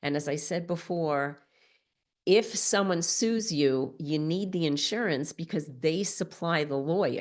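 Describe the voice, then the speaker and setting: A woman with a fairly low pitch, an animated tone and ordinary pitch variation, speaking at a fairly slow pace over a quiet background. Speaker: legal expert speaking to retreat leaders. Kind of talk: webinar presentation.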